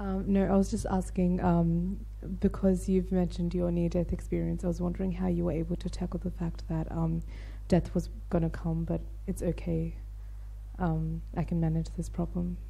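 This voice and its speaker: Somewhat breathy and very deep for a woman, her dark, mellow voice stays monotone and flat while audible room echo surrounds it. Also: moderate pace. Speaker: audience member asking a question. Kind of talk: audience question. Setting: university hall with audience. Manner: hesitant, many fillers.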